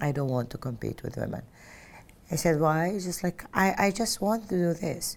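With an Arabic accent, a woman speaks at a moderate pace in a fairly low pitch with lively intonation. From Saudi Arabia (Mecca). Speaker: interviewee telling life story. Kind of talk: personal testimony. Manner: loud.

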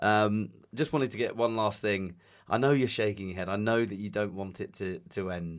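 At a moderate pace and with ordinary pitch variation, the speaker uses a Southeast English accent on a very clean recording with a silent background. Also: man, fairly low pitch for a man. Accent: English (southeast England). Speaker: podcast host. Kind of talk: casual interview chat. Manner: friendly, enthusiastic.

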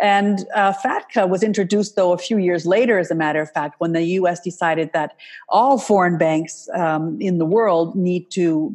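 Against a quiet background, a woman with an American accent speaks at a moderate pace. She has a normal speaking voice, fairly low in pitch, with ordinary pitch variation. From Canada, US and Switzerland. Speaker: wealth management marketing consultant. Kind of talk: interview.

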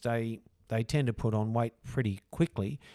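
A man's medium-pitched voice with an Australian accent at a moderate pace, with ordinary pitch variation and a dry, close sound with no echo on a very clean recording with a silent background. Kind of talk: casual chat.

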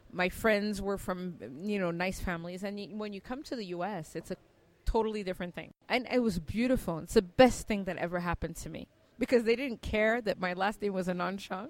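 Speaking fairly quickly with an American accent, a woman keeps a medium pitch and ordinary pitch variation while her loudness swings widely. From Cameroon. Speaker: tech entrepreneur. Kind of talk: interview.

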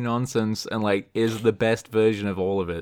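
A man speaks with an unremarkable speaking voice at medium pitch and a moderate pace. The recording is very clean, with a silent background. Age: 20s. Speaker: YouTube channel creator. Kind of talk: casual chat.

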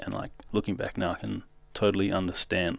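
On a very clean recording with a silent background, a man with a New Zealand accent speaks in a fairly low voice with vocal fry. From New Zealand, South Auckland. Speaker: scaffolder and rigger. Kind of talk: personal testimony interview.

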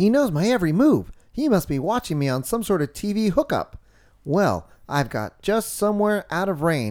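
Lively intonation in an unforced reading voice

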